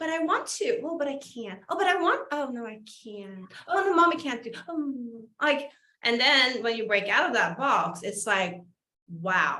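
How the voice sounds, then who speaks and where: A woman speaks at a fairly slow pace in a bright, sharp tone, her pitch swinging very widely. Her loudness rises and falls sharply, and the room adds audible echo. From Sweden. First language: Swedish. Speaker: podcast host. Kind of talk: casual interview chat.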